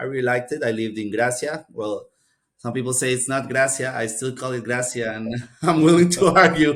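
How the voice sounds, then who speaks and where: Speaking with a Spanish accent, a man keeps a fairly quick pace. His pitch is medium and varies in an ordinary way. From Costa Rica. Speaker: MBA graduate. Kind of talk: podcast interview.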